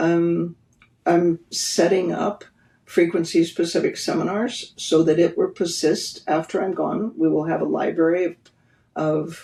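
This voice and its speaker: At a fairly slow pace, a woman speaks in a flat monotone with a fairly low pitch, a dark, mellow tone, and vocal fry. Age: 70s. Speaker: therapy pioneer and practitioner. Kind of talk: podcast interview.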